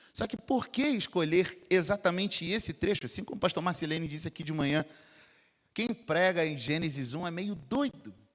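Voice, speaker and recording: With a Rio de Janeiro accent, the speaker talks at a moderate pace with lively intonation on a very clean recording with a silent background. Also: man, high pitch for a man. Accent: carioca (Rio). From Rio de Janeiro, Brazil. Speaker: pastor. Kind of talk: sermon. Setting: church.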